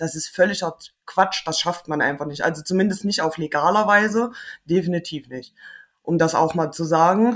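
A woman with an unremarkable speaking voice, fairly low in pitch, at a moderate pace with ordinary pitch variation. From Thuringia, Germany. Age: 30s. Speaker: maintenance technician. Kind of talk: interview.

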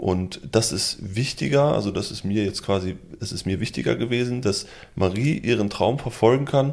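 A man speaks with lively intonation, neither fast nor slow. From Lübbecke, East Westphalia, Germany. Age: 20s. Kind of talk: casual chat. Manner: hesitant with fillers.

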